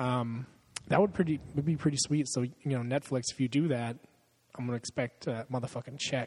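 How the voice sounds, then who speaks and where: Speech comes at a fairly quick pace. There is a somewhat breathy quality to it. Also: man, medium pitch for a man, fairly even intonation. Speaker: podcast host. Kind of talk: casual chat. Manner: profane, laughs often.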